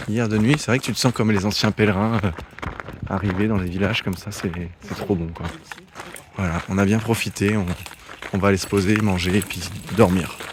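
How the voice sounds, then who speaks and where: Over noticeable background noise, the speech comes with long, frequent pauses and fairly even intonation. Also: man, fairly low pitch for a man, fairly quick pace. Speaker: travel vlogger, hiker on pilgrimage. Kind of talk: vlog commentary. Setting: outdoors, arriving in village at night.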